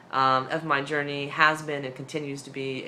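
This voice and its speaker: A woman talks with a very deep, low pitch and monotone, flat intonation. Audible room echo surrounds her voice. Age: 30s. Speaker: weight-loss surgery vlogger. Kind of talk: casual vlog update.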